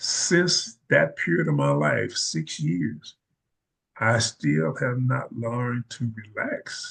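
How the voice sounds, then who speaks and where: A man with a Mississippi accent speaks at a very slow pace. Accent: Southern US (Mississippi). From US South. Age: 70s. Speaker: retired army veteran and educator. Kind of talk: interview.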